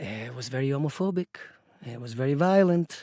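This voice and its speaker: Lively intonation marks this speech in an Italian accent, recorded dry and close with no echo on a very clean track with a silent background. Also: man. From Italy, Rome. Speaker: bartender and football fan group leader. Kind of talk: podcast interview. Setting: studio. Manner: hesitant with fillers.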